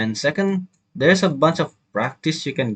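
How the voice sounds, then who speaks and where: Very slow speech in an Indonesian accent. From Indonesia, Jambi. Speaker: university student. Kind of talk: video review. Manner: halting, many fillers.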